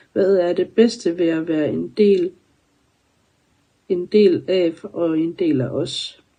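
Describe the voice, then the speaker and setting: Fairly low in pitch, a woman's dark, mellow voice shows ordinary pitch variation. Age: 30s. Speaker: community member. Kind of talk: self-introduction answering questions.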